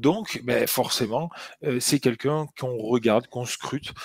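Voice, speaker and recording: A man with a southern French accent is heard in a dry, close sound with no echo. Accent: southern French accent, sing-song. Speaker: NFL podcast co-host. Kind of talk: casual chat. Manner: hesitant, many fillers and repetitions.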